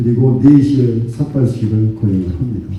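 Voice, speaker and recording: Noticeable background noise and audible room echo fill the recording. The speaker is a man. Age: 60s. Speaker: district head. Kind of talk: public speech. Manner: impassioned.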